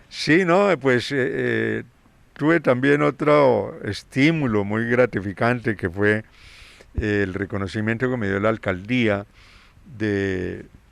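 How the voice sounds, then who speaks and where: A man speaks very slowly at a medium pitch, his intonation lively. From Colombia, Cundinamarca. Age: 70s. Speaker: singer-songwriter and music educator. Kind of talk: interview. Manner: halting, many fillers.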